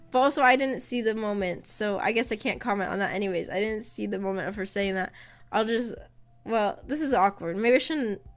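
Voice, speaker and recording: A woman with a fairly high pitch and ordinary pitch variation, fairly quick pace, music in the background. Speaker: VTuber streamer. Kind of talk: casual chat. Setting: live stream.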